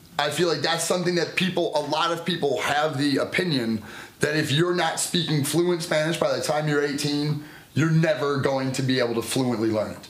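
Noticeable background noise runs under a man's fairly high-pitched voice. He speaks at a moderate pace with ordinary pitch variation. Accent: American. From United States. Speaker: podcast co-host. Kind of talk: casual chat.

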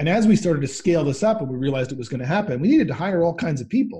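A man speaks in a dark, mellow, somewhat breathy tone with lively intonation. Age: 50s. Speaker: think tank spokesman and author. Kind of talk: interview conversation. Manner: hesitant with many fillers.

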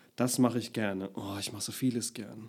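A man with a medium pitch talks at a moderate pace in fairly even intonation. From Palatinate, Deidesheim. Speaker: actor and comedian. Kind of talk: casual interview.

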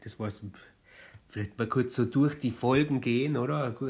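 A man speaks at a medium pitch with ordinary pitch variation. His tone is animated. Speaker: podcast co-host. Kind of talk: casual chat. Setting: studio.

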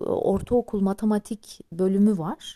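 Her tone is dark and mellow as a woman speaks. The sound is dry and close, with no echo. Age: 40s. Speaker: teacher and podcaster. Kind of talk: personal monologue. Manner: rambling conversational.

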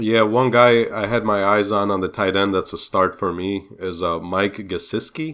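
A man's normal speaking voice with an American accent, fairly low in pitch, at a moderate pace with hardly any pauses, on a very clean recording with a silent background. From outside the US. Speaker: fantasy football podcast co-host. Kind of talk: casual chat.

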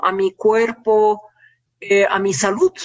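Here a woman is talking. She goes at a very slow pace. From Germany. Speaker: family doctor and public health expert. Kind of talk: panel discussion.

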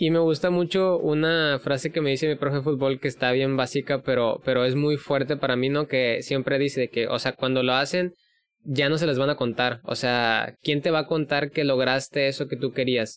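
This man has a normal speaking voice with a fairly high pitch, fairly even intonation, very even loudness and a moderate pace. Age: 20s. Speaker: podcast host. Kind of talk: casual interview.

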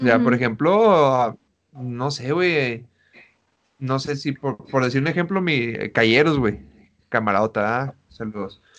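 The pace is very slow. A man speaks at medium pitch with ordinary pitch variation. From Chihuahua, Mexico. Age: 20s. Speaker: podcast host. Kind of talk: casual chat.

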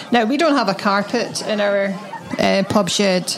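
Amid audible room echo and noticeable background noise, a woman with a Scottish accent talks at a moderate pace. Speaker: podcast co-host. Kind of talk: casual chat.

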